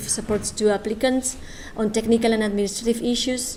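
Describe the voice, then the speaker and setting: A woman with a Spanish accent speaks in a fairly high pitch and a flat, monotone delivery. Noticeable background noise and audible room echo fill the recording. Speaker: government official presenting a funding program. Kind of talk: conference presentation. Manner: halting, many hesitations.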